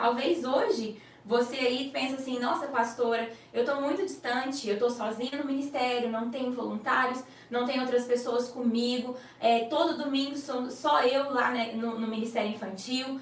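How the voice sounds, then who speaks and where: A woman's high-pitched voice with a warm tone and fairly even intonation at a moderate pace, plus audible room echo and noticeable background noise. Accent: slight Goiás. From Brazil, Goiás. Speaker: children's pastor. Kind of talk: online teaching class for children's ministry leaders. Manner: warm, conversational, addressing audience directly.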